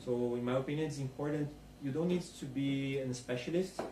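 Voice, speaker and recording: In a room with audible echo, a man with a non-native accent speaks at a fairly quick pace and medium pitch, his somewhat breathy voice dark and mellow in tone with fairly even intonation. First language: not English. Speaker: conference speaker. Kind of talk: Q&A after a talk.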